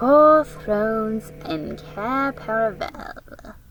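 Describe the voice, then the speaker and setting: Music plays in the background as a woman uses a put-on character voice at a fairly high pitch and a very slow pace. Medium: read story. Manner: cold, imperious.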